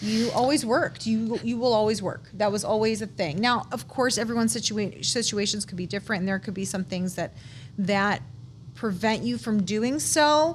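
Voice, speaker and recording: A woman with an American accent speaks at a moderate pace and a fairly high pitch. Her intonation is lively, and there is vocal fry in her voice. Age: 40s. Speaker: guest sharing life story. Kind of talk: casual interview chat. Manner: halting, self-correcting.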